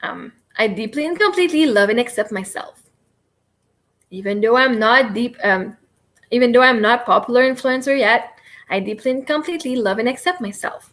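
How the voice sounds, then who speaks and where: A woman talks at a fairly quick pace with a high pitch and lively intonation. She takes long, frequent pauses. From Quebec. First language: French. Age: 30s. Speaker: livestreamer and self-help coach. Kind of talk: live stream guided tapping session. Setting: live stream. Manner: fast.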